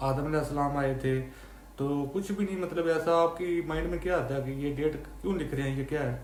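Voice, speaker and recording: Fairly even intonation at a moderate pace, amid noticeable background noise and audible room echo. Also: man. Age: 30s. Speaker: YouTuber. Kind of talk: casual explainer monologue. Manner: conversational, with fillers and self-corrections.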